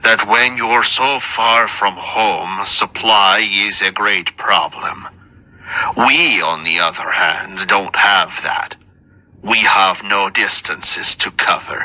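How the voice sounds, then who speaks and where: A man's put-on character voice at a medium pitch and a very slow pace. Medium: read story. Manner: guarded, terse.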